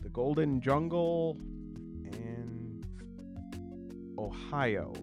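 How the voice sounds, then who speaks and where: A man is speaking. Music plays in the background. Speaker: solo tabletop RPG YouTuber. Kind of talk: casual talk to camera, product unboxing. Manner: hesitant, casual, uses fillers.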